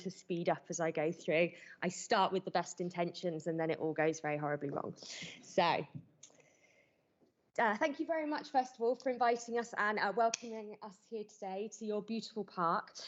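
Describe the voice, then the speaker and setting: With a strong British accent, a woman speaks at a medium pitch using lively intonation. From Britain. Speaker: conference speaker, zoo welfare coordinator. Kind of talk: conference presentation. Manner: fast.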